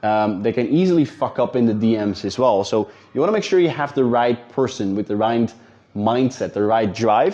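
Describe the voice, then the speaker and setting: Speaking with a Dutch accent, a man uses a dark, mellow tone at a medium pitch and a moderate pace. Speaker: business coach. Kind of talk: talking-head tutorial. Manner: casual, with fillers and repetitions.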